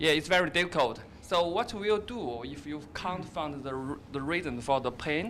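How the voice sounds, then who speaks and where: With a Chinese accent, a man speaks at a moderate pace and fairly high pitch, using lively intonation and hardly any pauses. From China. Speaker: doctor in audience. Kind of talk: audience question. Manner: halting.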